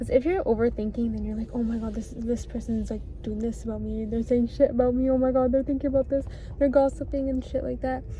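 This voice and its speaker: Noticeable background noise runs beneath a woman talking very fast. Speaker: vlogger. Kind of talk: casual vlog monologue. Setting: outdoors at the beach. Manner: stuttering, repeats herself; fast, rambling.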